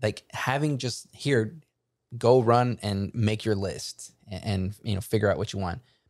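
It's an unremarkable speaking voice: a man with a fairly low pitch and ordinary pitch variation, speaking at a fairly slow pace. The recording is very clean, with a silent background. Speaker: podcast host. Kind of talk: casual chat.

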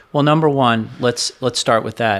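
A man's medium-pitched voice, an unremarkable speaking voice, comes with fairly even intonation on a very clean recording with a silent background. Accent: American. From South Florida. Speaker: financial advisor. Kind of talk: interview conversation.

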